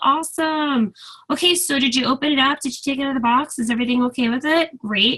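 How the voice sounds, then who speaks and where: Raising and projecting her voice, a woman speaks very fast in a high pitch with a bright, sharp tone and ordinary pitch variation. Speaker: direct sales team leader. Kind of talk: training call. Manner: animated.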